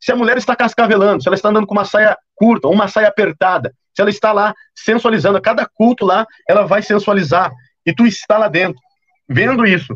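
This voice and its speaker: A man talks fairly quickly in a high pitch, with ordinary pitch variation and very even loudness. The sound is dry and close, with no echo. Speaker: preacher. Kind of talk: sermon. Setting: livestream. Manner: fast.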